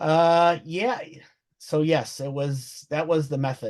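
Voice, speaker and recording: A man speaks with a Brooklyn accent. The background is quiet. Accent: Brooklyn, New York. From Brooklyn, New York. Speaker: webinar presenter. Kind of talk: professional, business.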